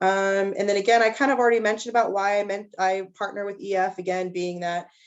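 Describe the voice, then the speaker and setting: A woman of medium pitch talks at a moderate pace with ordinary pitch variation. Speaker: teacher leading student tours. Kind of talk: presentation at a parent meeting. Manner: hesitant, many fillers.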